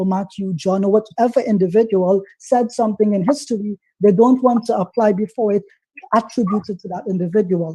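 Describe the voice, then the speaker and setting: With a dark, mellow tone and fairly even intonation, a man speaks at a high pitch. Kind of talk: heated debate. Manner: fast.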